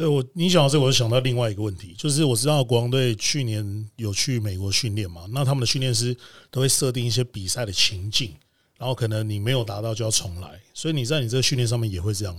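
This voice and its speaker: A somewhat breathy voice talks at a very fast pace with ordinary pitch variation, in a very clean recording with a silent background. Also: man, medium pitch for a man. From Taiwan. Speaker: DJ and podcast host. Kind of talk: casual interview.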